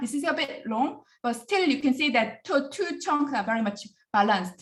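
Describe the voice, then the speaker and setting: Her voice high and her intonation lively, a woman speaks with a Korean accent. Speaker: professor. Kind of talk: lecture. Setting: video call. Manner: fast.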